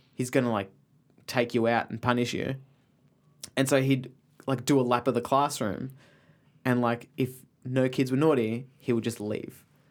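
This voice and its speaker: This man has an Australian accent and a medium pitch. He talks at a moderate pace. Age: 20s. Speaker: comedy writer. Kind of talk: casual chat.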